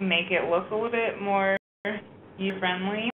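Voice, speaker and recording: A woman's ordinary speaking voice, an ordinary speaking voice at a medium pitch, a moderate pace and fairly even intonation. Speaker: data manager presenting a training webinar. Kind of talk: webinar tutorial. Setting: online web conference. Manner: casual, many filler words.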